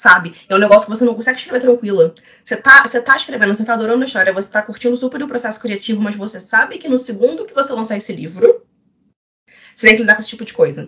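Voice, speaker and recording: A woman speaks very fast in a fairly high pitch, with ordinary pitch variation and big swings in loudness. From Rio de Janeiro, Brazil. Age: 20s. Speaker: romance novelist. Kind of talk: casual panel discussion.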